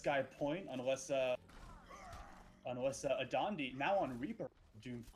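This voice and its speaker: A man talks at a fairly slow pace with long, frequent pauses, his medium pitch showing ordinary variation. Noticeable background noise runs underneath. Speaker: esports caster. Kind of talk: live commentary. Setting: live stream.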